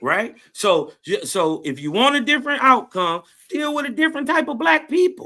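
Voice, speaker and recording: A man projects a raised voice at an extremely high pitch, bright and sharp in tone. His pitch swings very widely at a moderate pace. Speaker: panelist. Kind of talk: heated debate. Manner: loud.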